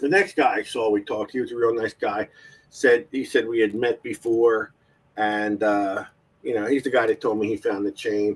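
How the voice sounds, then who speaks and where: Here a man has an ordinary speaking voice and ordinary pitch variation. His pace is moderate. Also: medium pitch for a man. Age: 50s. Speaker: metal detecting show host. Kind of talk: casual chat. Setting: live stream.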